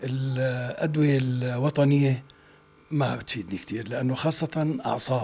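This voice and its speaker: At a fairly slow pace, a man speaks in a somewhat breathy voice of medium pitch with fairly even intonation. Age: 70s. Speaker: veteran actor. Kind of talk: interview. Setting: office.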